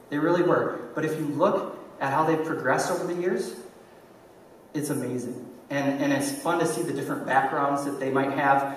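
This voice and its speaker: Amid audible room echo and light background noise, a man with a fairly high pitch speaks at a fairly quick pace with fairly even intonation. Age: 30s. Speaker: conference speaker, online entrepreneur and YouTuber. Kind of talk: conference talk; audience Q&A answer. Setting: stage with audience. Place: stage.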